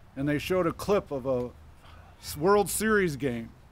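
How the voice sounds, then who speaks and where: Someone speaks at a fairly slow pace in a Midwestern US accent. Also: man. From Michigan. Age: 70s. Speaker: local resident speaker. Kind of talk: public speech. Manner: casual.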